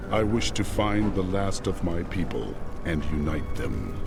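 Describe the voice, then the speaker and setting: A man puts on a character voice, pitched very deep and low. Loud background noise runs behind him. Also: moderate pace. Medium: machinima. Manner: terse, grave.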